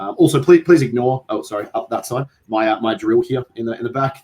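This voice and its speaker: A man with an Australian accent speaks at a very fast pace in a medium pitch, his dark, mellow tone somewhat breathy and his intonation lively. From Australia, Adelaide. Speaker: podcast host, tabletop gamer. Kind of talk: casual chat. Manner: halting, many fillers.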